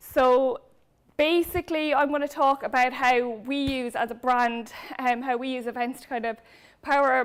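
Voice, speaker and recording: In a Cork accent, a woman with a high pitch speaks at a moderate pace with fairly even intonation, recorded very cleanly against a silent background. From Ireland, Cork. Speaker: brand manager. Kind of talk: conference talk.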